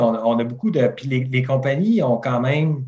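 This man speaks slowly-ish, at a fairly slow pace, with a Quebec accent. His voice is somewhat breathy and sits at a medium pitch. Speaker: barbecue enthusiast and Instagrammer. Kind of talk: interview.

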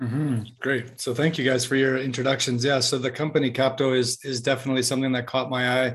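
At a very fast pace with hardly any pauses, a man speaks in a somewhat breathy, medium-pitched voice with monotone, flat intonation. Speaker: podcast host. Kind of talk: casual interview conversation. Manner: hesitant, many fillers.

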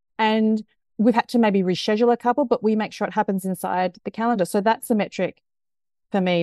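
This woman has a New Zealand accent and medium pitch. She speaks at a fairly quick pace. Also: dry, close sound with no echo. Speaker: culture transformation consultant. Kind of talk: casual interview. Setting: video call. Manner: animated.

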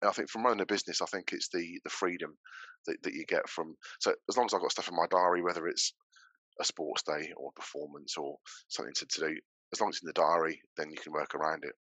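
In a Norfolk accent, a man talks at a very fast pace. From Norfolk, England. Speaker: building surveyor and business owner. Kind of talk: casual interview chat.

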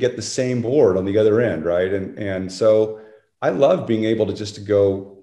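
A man's fairly low voice with a dark, mellow tone, ordinary pitch variation, a moderate pace and audible room echo. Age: 60s. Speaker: surfing historian. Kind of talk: casual chat. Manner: halting.

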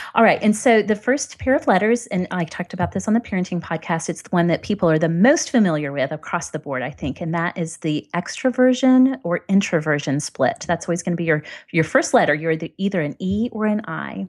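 A woman talks with a plain, everyday voice, fairly low in pitch and lively in intonation. Her pace is fairly quick with hardly any pauses, over a quiet background. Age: 30s. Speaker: blogger. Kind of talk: casual chat.

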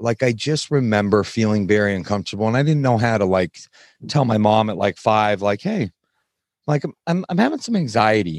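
The speaker moves at a fairly quick pace with lively intonation. The sound is dry and close, with no echo. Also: man, fairly low pitch for a man. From US, Salt Lake City suburbs, Utah. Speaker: nutrition coaching business owner. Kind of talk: casual interview, personal testimony. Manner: animated, casual.

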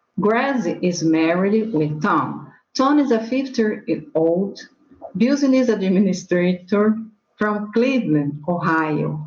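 The voice holds a very even loudness at a very slow pace, with audible room echo in the recording. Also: woman, medium pitch for a woman. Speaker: English student. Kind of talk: reading aloud. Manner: halting.

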